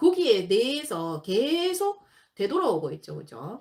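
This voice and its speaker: Speaking with a Gyeongsang accent, a woman's pitch swings very widely. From Gyeongsang region, South Korea. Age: 50s. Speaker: exam prep instructor. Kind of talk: lecture.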